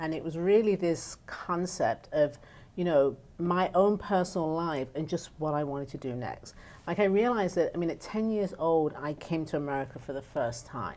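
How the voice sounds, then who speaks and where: A woman speaks in an English accent at a moderate pace. Her pitch is fairly low, with ordinary variation. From northern England. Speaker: nonprofit founder. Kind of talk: talk show interview.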